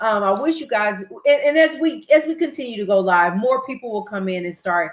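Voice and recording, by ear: Her fairly high-pitched voice has a fairly bright tone, ordinary pitch variation and a moderate pace.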